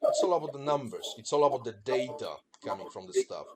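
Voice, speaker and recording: The speaker has a Polish accent and talks at a moderate pace. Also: man. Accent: Polish accent, noticeable. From Poland. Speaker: business presenter. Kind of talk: business presentation.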